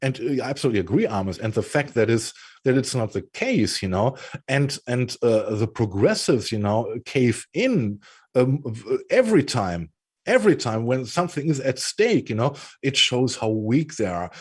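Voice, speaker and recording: A somewhat breathy man with a German accent and lively intonation. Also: medium pitch for a man, moderate pace, very clean recording, silent background. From Germany. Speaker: political commentary show co-host. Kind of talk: casual political discussion.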